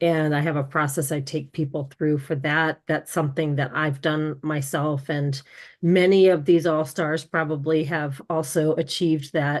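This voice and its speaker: A woman's very deep, low voice, monotone and flat, at a moderate pace against a quiet background. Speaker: career empowerment coach. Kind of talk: casual video call introduction.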